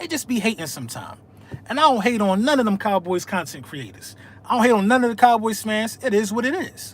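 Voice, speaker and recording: Speaking at a very fast pace, a man with a high pitch uses lively intonation. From Philadelphia, Pennsylvania. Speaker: sports fan livestreamer. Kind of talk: live stream casual chat. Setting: live video stream. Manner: animated.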